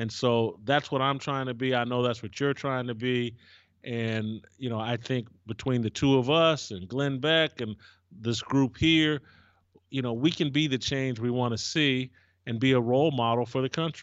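A man's normal speaking voice with an American accent, medium-pitched, at a moderate pace and with fairly even intonation. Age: 50s. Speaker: cultural commentator. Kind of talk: discussion on race relations.

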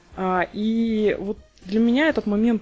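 The voice is a woman's. Clear background noise can be heard along with it. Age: 30s. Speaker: podcast host, software tester. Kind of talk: casual chat.

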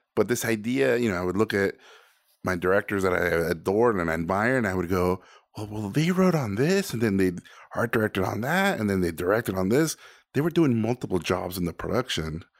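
In a Spanish accent, a man talks at a fairly quick pace with lively intonation and a fairly low pitch. The recording is very clean, with a silent background. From Mexico (Mexico City, Tijuana). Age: 40s. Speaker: animator and director. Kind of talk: casual interview.

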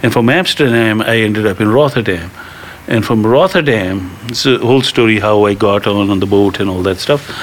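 Noticeable background noise lies under the voice. The delivery is fairly quick, with ordinary pitch variation. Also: man, fairly low pitch for a man. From India. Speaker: cannabis advocate and film director. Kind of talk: storytelling interview.

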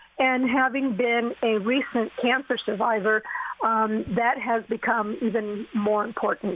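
A woman with a fairly high pitch speaks at a fairly slow pace with very even loudness and fairly even intonation, over noticeable background noise. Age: 60s. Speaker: cancer survivor and entrepreneur. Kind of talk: testimony.

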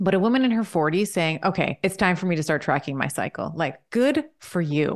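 An unremarkable speaking voice moves at a fairly quick pace with hardly any pauses. Its intonation is lively, its loudness very even, over a quiet background. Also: woman, medium pitch for a woman. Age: 40s. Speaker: doctor and women's health expert. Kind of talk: interview.

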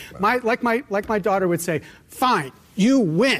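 A man's high-pitched, animated delivery with lively intonation at a fairly slow pace, over noticeable background noise. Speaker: law professor and candidate. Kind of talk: political interview. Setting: studio with live audience.

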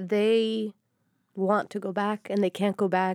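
With an American accent, a woman speaks fairly slowly in a dark, mellow tone and flat, monotone intonation, the sound dry and close with no echo, on a very clean recording with a silent background. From Florida. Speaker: newspaper reporter. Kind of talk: roundtable discussion. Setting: studio.

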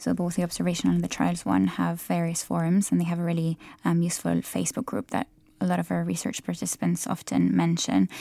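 This is a woman speaking with an Italian accent. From Italy. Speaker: PhD student researcher. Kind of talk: casual interview about research. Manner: hesitant with frequent filler words.

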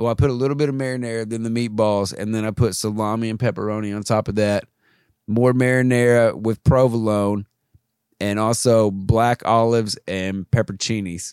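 In a very clean recording with a silent background, a man talks at a medium pitch in a plain, everyday voice, the sound dry and close with no echo. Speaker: podcast co-host. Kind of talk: casual comedy chat.

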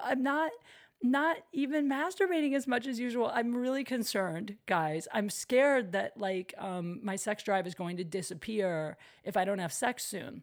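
A woman's fairly high voice with an American accent, lively intonation and a moderate pace, on a very clean recording with a silent background. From US Midwest. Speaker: comedian and podcast host. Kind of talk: casual chat. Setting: at home, recording alone.

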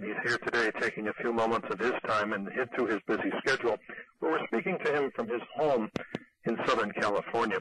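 A man's medium-pitched voice at a fairly quick pace, with ordinary pitch variation and a dry, close sound with no echo, over noticeable background noise. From New York City. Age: 50s. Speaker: radio host. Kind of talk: radio interview.

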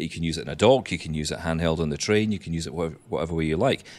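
With a Scottish accent, a man talks in a very deep, low pitch and ordinary pitch variation. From Scotland, small town. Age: 30s. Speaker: blind tech podcaster. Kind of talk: casual chat. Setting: remote call.

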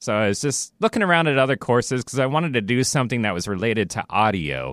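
A man with an American accent and an unremarkable speaking voice talks at a moderate pace with lively intonation, in a very clean recording with a silent background and a dry, close sound with no echo. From US Pacific Northwest, Renton near Seattle. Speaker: studio engineer. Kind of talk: casual chat, personal story. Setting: radio studio.

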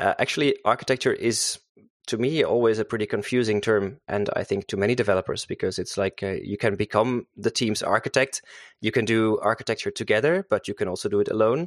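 A man with a Dutch accent talks at a very fast pace in a dry, close sound with no echo against a quiet background. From Netherlands. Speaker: software developer and author. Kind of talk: technical interview. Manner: halting, many fillers.

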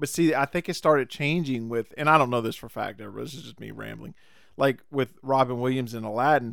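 In a very clean recording with a silent background, a man has an ordinary speaking voice at a medium pitch with ordinary pitch variation. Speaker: podcast host. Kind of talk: casual chat. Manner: jokey, laughs often.

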